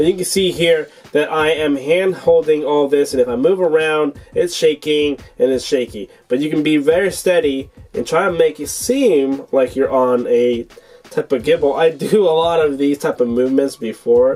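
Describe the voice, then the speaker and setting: A man with a fairly high pitch talks at a moderate pace. Music plays in the background, and his pitch varies in an ordinary way. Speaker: tech product reviewer. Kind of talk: product review tutorial.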